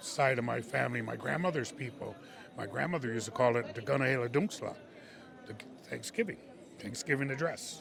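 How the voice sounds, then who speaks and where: A man with an American accent talks fairly quickly, with ordinary pitch variation and long, frequent pauses. Noticeable background noise and audible room echo fill the recording. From Wisconsin, Mohican community. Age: 60s. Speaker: powwow drummer and singer. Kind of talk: interview testimony. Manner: hesitant, repetitive with fillers.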